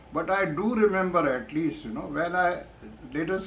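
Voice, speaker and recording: A man with a Pakistani accent at a moderate pace, ordinary pitch variation and audible room echo. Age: 70s. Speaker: retired professor and vlogger. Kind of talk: personal vlog monologue. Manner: hesitant, many fillers.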